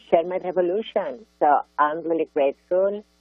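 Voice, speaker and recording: Over music in the background, a woman talks at a fairly slow pace with a fairly low pitch and ordinary pitch variation. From Barcelona, Catalonia, Spain. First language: Catalan or Spanish. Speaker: art activist and author. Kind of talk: interview. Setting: radio show. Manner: animated.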